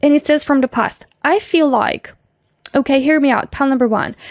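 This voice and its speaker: A high-pitched woman, dry and close with no echo, on a very clean recording with a silent background. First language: not English. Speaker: tarot reader. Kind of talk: pick-a-card tarot reading. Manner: casual, filler-heavy.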